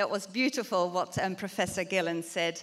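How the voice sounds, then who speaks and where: A woman with a Dutch accent, lively intonation and a moderate pace. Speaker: university researcher. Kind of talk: conference lecture.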